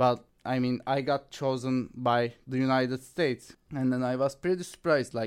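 With a Turkish accent, a man speaks at a moderate pace in a medium pitch, his intonation fairly even. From Turkey, Istanbul. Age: 20s. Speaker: university student. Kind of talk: interview. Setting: studio.

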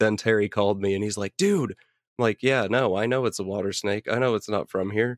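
Here a man talks at a fairly quick pace with hardly any pauses, his fairly low pitch and fairly even intonation making a plain, everyday voice, captured in a dry, close sound with no echo on a very clean recording with a silent background. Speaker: podcast host. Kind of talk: casual chat.

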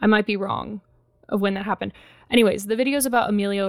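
Recorded very cleanly against a silent background, a woman with an American accent speaks at a medium pitch in a dry, close sound with no echo. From Texas, Corpus Christi. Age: 20s. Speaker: podcast host. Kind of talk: casual solo podcast monologue. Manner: casual with many fillers.

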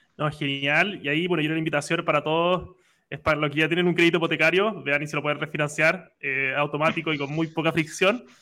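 A man speaks very fast at a fairly high pitch. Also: fairly even intonation. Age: 20s. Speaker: podcast host. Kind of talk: interview.

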